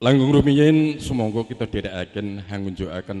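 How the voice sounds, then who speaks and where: At a moderate pace, a man talks in a dark, mellow tone. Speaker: family spokesman at wedding ceremony. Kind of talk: formal ceremonial speech. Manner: formal.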